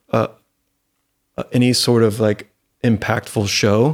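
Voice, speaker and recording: A man with an American accent at a fairly slow pace, in a very clean recording with a silent background. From Florida. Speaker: singer-songwriter. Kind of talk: casual interview chat. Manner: halting, many fillers.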